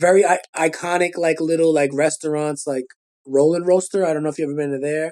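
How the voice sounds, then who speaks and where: With a Brooklyn accent, a man rattles along at a very fast pace in a fairly high, monotone voice with flat intonation. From Brooklyn, New York (Gravesend/Sheepshead Bay). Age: 40s. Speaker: rapper and children's author. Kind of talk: casual chat.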